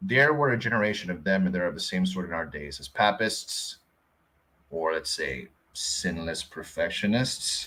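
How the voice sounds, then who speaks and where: A man with a Filipino accent talks at a moderate pace. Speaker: Bible teacher. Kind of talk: reading aloud with commentary.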